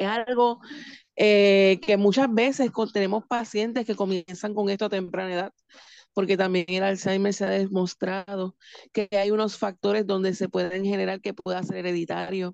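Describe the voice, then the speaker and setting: A woman speaks in a Puerto Rican accent. Her pitch is medium and her pace is moderate. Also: fairly even intonation, dry, close sound with no echo. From Puerto Rico, Manatí. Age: 40s. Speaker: home care and hospice representative. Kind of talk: radio interview.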